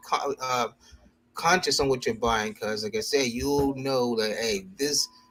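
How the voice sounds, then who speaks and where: A man with an ordinary speaking voice, fairly high in pitch, with ordinary pitch variation and a fairly slow pace. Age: middle-aged. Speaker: sneaker show co-host. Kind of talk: casual chat.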